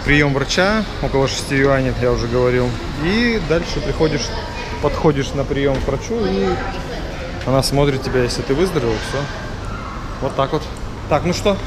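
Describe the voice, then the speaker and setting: Over crowd noise in the background, a man talks at a moderate pace. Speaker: travel vlogger. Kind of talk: casual vlog chat. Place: hall. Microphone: phone near.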